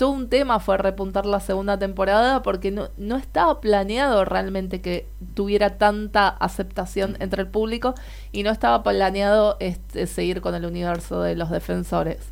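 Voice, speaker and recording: At a moderate pace, a woman talks with a Rioplatense accent. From Argentina. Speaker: podcast co-host. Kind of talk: casual chat.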